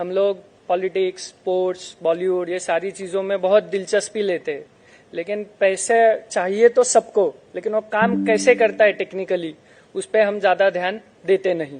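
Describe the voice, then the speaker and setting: A man talks at a high pitch, keeping his intonation fairly even. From Maharashtra, India. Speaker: chartered accountant speaker. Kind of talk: seminar lecture.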